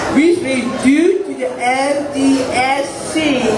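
A man speaks with an American accent. Loud background noise runs beneath him. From Newton, Massachusetts. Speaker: photographer and self-advocate. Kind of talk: prepared speech to a live audience. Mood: proud, earnest. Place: stage. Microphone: podium.

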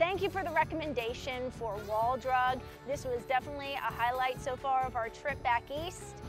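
Over clear background music, a woman talks at a moderate pace in a high pitch with ordinary variation, the sound dry with no echo. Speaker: travel vlogger host. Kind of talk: travel commentary to camera. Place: street.

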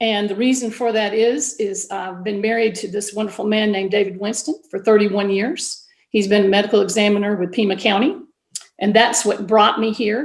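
A woman's medium-pitched voice, fairly quick in pace, with fairly even intonation. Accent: Southern. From US South, Georgia. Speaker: school board candidate, science teacher. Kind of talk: candidate forum statement.

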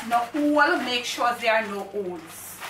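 A woman speaks with ordinary pitch variation, with audible room echo and light background noise. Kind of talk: tutorial. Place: kitchen.

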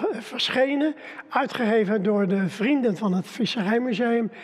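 A man's high-pitched voice, ordinary in its pitch variation, at a very slow pace. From Netherlands. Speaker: local museum founder and author; speaker. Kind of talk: storytelling. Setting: live stream. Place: studio.

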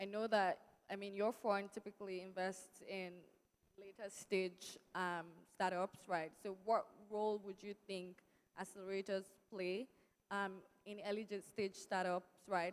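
A woman at a fairly slow pace, monotone and flat, with long, frequent pauses. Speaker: panel moderator, startup representative. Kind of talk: panel moderation. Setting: stage with audience. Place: stage. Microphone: handheld.

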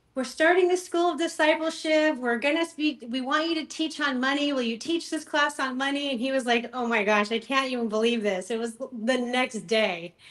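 Pitched high, a woman talks with lively intonation and hardly any pauses. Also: moderate pace. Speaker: ministry founder and author; podcast guest. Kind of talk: casual interview. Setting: remote call from home. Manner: animated. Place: home room. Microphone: video call.

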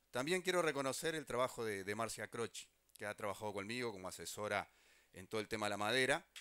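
A bright, sharp tone with lively intonation at a very fast pace, against a quiet background. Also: man, dry sound with no echo. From Uruguay. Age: 50s. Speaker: government minister. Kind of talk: public speech. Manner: halting, repeats words. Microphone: handheld.

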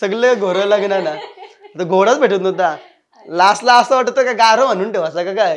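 With light background noise behind him, a man speaks. His pitch is high and varies in an ordinary way. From India, Panvel area (Maharashtra); Maharashtra. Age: 20s. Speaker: comedy YouTuber; interview guest, YouTube comedy actor. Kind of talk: interview. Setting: studio. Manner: casual, colloquial. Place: studio.

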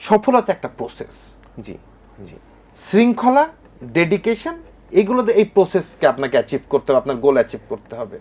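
A man talks at a high pitch with very wide swings. His loudness also rises and falls sharply. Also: dry, close sound with no echo. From Bangladesh, Kushtia. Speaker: business executive. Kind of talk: television talk show interview. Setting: studio.

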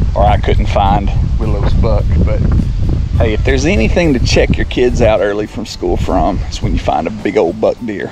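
A man speaks at a moderate pace in a dark, mellow tone. His pitch varies in an ordinary way, with faint background noise behind him.

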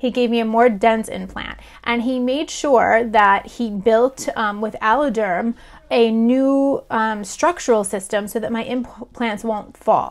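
A woman with a fairly high voice speaks at a fairly slow pace, her intonation fairly even. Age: 40s. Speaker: breast cancer survivor and author. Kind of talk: personal video blog. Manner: casual, with frequent fillers. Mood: earnest, relieved, emotional. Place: home room. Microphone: webcam.

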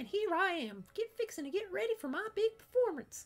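In a put-on character voice, a man squeaks at an extremely high pitch. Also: fairly quick pace. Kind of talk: character voice reading game dialogue. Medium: solo performance. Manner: folksy, brash, theatrical. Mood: self-important, showy.

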